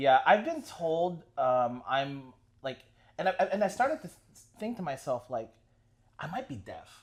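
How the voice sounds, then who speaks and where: Animated and fairly slow, a man speaks at a high pitch with very wide pitch swings and big swings in loudness. Long pauses come often. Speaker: podcast host. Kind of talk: casual chat.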